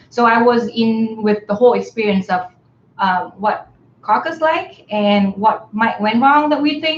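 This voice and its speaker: A woman speaks with a Vietnamese accent at a fairly high pitch. Her intonation is lively and her pace fairly slow. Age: 30s. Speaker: graduate student and campaign volunteer. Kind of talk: casual live stream chat. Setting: live stream, in person together. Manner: hesitant, many fillers.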